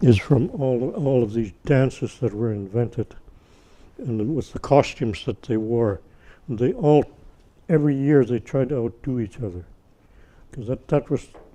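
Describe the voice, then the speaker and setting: This man's voice has a dark, mellow tone, broken by long, frequent pauses. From Northern British Columbia, Canada (First Nations community). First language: Tsimshian. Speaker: First Nations elder. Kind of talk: talk to an audience. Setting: university event with audience. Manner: halting, many restarts.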